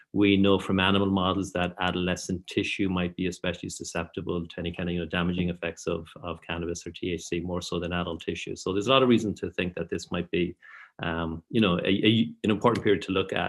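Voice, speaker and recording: A man with an Irish accent rushes along at a very fast pace with hardly any pauses, his very deep, low voice flat and monotone. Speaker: professor. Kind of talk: lecture. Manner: hesitant fillers.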